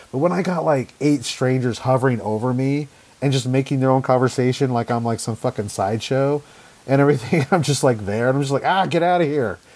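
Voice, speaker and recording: Over noticeable background noise, a man with an American accent talks at a very fast pace, medium in pitch with ordinary pitch variation. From Idaho, US. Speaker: comic artist. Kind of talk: casual interview.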